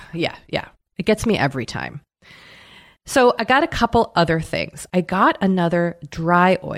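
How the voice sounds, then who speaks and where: A woman's medium-pitched voice with an American accent, vocal fry, lively intonation and a moderate pace. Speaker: podcast host. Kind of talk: casual chat.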